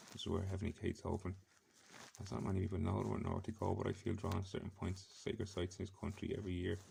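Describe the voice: A man talks fast in a low, gravelly voice with vocal fry. His tone is dark and mellow, and his intonation stays monotone and flat.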